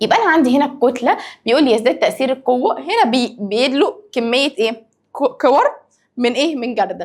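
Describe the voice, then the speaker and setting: Her pitch sits high. This woman talks at a moderate pace. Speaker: science teacher. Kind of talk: lecture. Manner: lowered, quieter voice.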